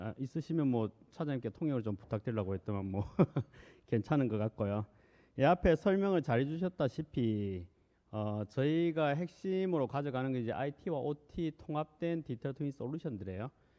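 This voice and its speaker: With a Busan accent, a man talks at a fairly quick pace in a medium pitch, his intonation lively. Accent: Gyeongsang (Busan) dialect. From Korea, Busan. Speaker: corporate director, presenter. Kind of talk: conference presentation. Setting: stage with audience. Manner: conversational, frequent fillers.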